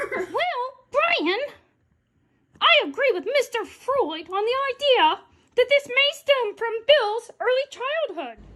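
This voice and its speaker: Putting on a squeaky character voice, a woman speaks at an extremely high pitch and a fairly slow pace with very wide pitch swings. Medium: comedy sketch.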